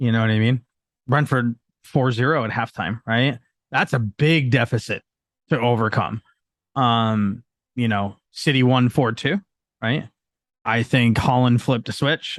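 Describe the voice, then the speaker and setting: A man at medium pitch speaks with ordinary pitch variation and long, frequent pauses, in a dry, close sound with no echo. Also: fairly slow pace, quiet background. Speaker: football podcast guest. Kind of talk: casual podcast discussion.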